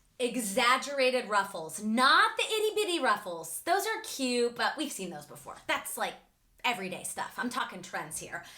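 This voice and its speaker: Over noticeable background noise, a woman talks at a high pitch and a moderate pace in an animated tone. Her pitch swings very widely and her loudness shifts a lot. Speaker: fashion YouTuber. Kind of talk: casual vlog talk to camera.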